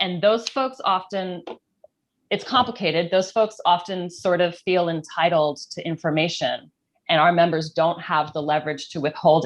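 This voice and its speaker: Pitched fairly low, a woman speaks in a plain, everyday voice. Her pace is moderate and her pitch variation ordinary. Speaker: sex worker activist. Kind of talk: panel discussion.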